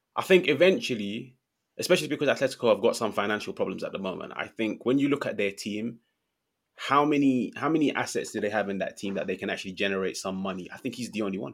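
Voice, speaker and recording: A man talks at a very fast pace with lively intonation and a medium pitch. The recording is very clean, with a silent background. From Iraqi heritage. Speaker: football podcast guest. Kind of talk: casual chat.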